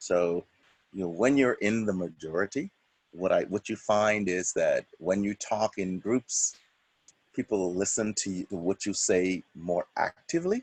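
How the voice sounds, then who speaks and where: A fairly slow voice in a Bahamian accent, with ordinary pitch variation and a dry, close sound with no echo. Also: man. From Bahamas. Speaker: church member. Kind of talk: interview.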